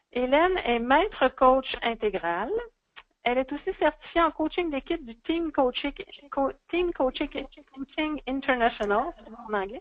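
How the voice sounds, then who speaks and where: With a Quebec accent, a woman talks at a fairly slow pace in a high pitch with lively intonation. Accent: Québécois French. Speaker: webinar presenter. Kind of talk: speaker introduction. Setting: online webinar.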